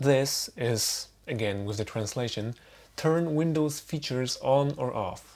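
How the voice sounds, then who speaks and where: A man with a non-native accent speaks at a medium pitch with ordinary pitch variation. The recording is very clean and the background silent. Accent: noticeable non-native. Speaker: tech tutorial maker. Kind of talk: unscripted screen-recording tutorial. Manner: casual, wry.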